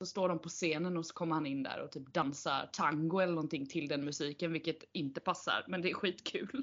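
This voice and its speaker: Her pitch is fairly low with ordinary variation. The woman talks at a fairly quick pace with hardly any pauses. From Sweden, Kalmar. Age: 30s. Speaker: podcast host. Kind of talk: casual chat. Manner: animated.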